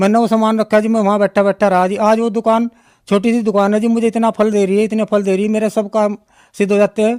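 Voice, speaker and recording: High-pitched and monotone, a man speaks with flat intonation in a dry, close sound with no echo, on a very clean recording with a silent background. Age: 60s. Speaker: devotee giving testimony. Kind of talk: testimony. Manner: halting.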